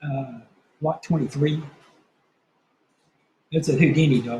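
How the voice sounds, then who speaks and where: A man with a fairly high pitch and a dark, mellow, somewhat breathy tone speaks at a fairly slow pace with fairly even intonation. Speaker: longhorn cattle breeder and sale host. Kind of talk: casual interview answer.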